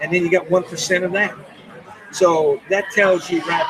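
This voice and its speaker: A man talks at a fairly slow pace over crowd noise in the background. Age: 70s. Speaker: military veteran. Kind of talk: casual chat. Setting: election night party, live broadcast.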